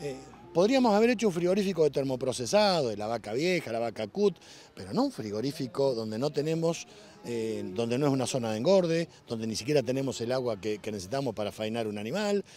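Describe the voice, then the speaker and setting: A man talks at a very fast pace with very wide pitch swings. The sound is dry with no echo. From Argentina, La Pampa. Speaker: farmer and politician. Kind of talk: interview. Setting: outdoors at a livestock auction. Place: farm machine.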